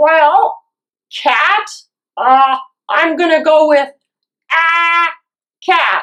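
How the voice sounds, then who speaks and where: A cartoonish character voice with a high pitch goes at a very slow pace, broken by long, frequent pauses. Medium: puppet.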